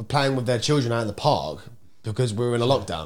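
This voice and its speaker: Very fast and animated in tone, a man with an English accent talks with vocal fry. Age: 20s. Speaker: podcast host. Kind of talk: casual chat. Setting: office.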